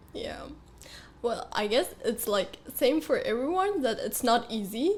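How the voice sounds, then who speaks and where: At a fairly slow pace, a woman speaks in a high pitch that swings very widely. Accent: Uzbek. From Uzbekistan. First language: Uzbek. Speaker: dental student. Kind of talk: interview. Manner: hesitant, many fillers.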